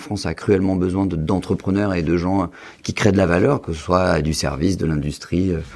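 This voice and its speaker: A man with a very deep, low pitch speaks at a fairly quick pace with ordinary pitch variation. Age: 20s. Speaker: real estate investor and medical student. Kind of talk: podcast interview.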